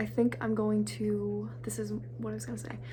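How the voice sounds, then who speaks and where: Amid noticeable background noise and audible room echo, a woman speaks at a moderate pace with a very deep, low pitch. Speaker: vlogger and independent filmmaker. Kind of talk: casual vlog talk. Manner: halting, many fillers.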